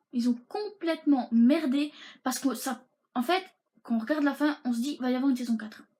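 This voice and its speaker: A woman speaks at a moderate pace with ordinary pitch variation. Her voice is high-pitched, with a dark, mellow tone. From Belgium. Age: 20s. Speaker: YouTuber. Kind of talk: casual talk to camera.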